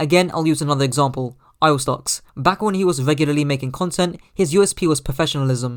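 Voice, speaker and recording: Speaking very fast with a British accent, a man uses a fairly high pitch and ordinary pitch variation. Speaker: gaming YouTuber. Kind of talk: scripted narration.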